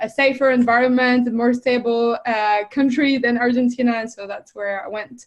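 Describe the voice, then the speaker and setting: A woman with a French accent speaks in a high pitch with ordinary pitch variation. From France. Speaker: fitness coach and entrepreneur. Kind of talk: interview podcast.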